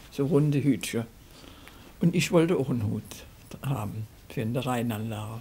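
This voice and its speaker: A woman with a very deep, low pitch speaks at a moderate pace with ordinary pitch variation and long, frequent pauses. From Rhineland, Germany. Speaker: dialect poet. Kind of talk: interview answer. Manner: conversational, reminiscing. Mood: warm, amused reminiscing. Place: home room.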